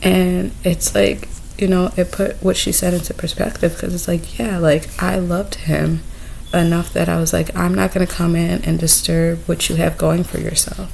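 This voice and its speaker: A soft-spoken woman talks at a moderate pace. Noticeable background noise runs behind her. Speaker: vlogger. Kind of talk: personal vlog monologue. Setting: indoors in someone else's home. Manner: hesitant.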